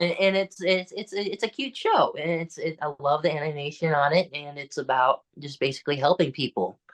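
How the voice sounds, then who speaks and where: A normal speaking voice from a man, fairly high in pitch with ordinary pitch variation, at a moderate pace, in a dry, close sound with no echo. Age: young. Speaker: musician and actor. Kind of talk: interview answer.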